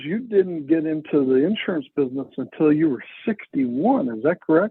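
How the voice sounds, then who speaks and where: A man with a Texan accent and very wide pitch swings. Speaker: podcast host. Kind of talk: podcast interview. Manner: animated.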